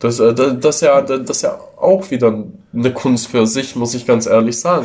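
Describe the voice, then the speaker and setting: A man speaks at a fairly slow pace and medium pitch. His voice is somewhat breathy, with ordinary pitch variation. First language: Italian or Ladin (speaking German). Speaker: tattoo artist. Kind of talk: casual chat. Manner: hesitant, many fillers. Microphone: phone recording.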